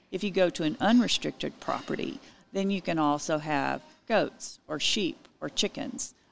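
In a Texan accent, a woman speaks at a fairly slow pace on a very clean recording with a silent background. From Texas Hill Country (Utopia, Texas). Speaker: realtor and homesteading expert. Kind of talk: interview.

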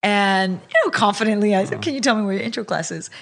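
In an American accent, a woman talks at medium pitch. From California Central Valley. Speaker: politician. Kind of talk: interview. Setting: at home.

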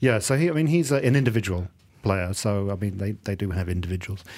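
A man speaks in a southern English accent with very wide pitch swings. The recording is very clean, the background silent. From England. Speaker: radio football show host. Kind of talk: casual chat. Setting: studio.

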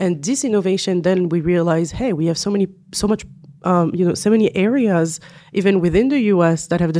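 Speaking fairly quickly in a French accent, a woman with a fairly low, dark, mellow tone uses ordinary pitch variation on a very clean recording with a silent background. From France. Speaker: management consultant. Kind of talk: interview conversation. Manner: frequent fillers and hesitations.

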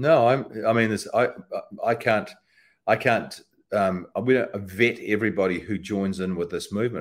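Here a man speaks with a New Zealand accent. His pitch is medium and his intonation lively. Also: very clean recording, silent background. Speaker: political campaigner. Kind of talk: interview.

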